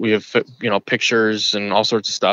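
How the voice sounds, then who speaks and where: At a medium tempo and mid-range pitch, a man talks in a plain, everyday voice. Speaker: hiker who had a Bigfoot encounter. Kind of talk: interview answer, telling his story.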